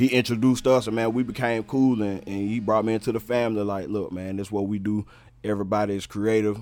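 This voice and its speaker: Over music in the background, a man with a North Carolina accent talks at a very fast pace in a fairly low voice with fairly even intonation. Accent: US Southern (North Carolina). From Charlotte, North Carolina (West Side). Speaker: rapper and producer. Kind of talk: casual chat.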